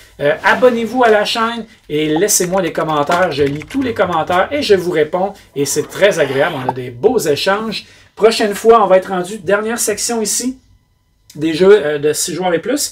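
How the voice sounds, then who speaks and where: A man's high voice in a Quebec accent, with lively intonation and a moderate pace. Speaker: board game reviewer. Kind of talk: casual review monologue. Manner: hesitant fillers.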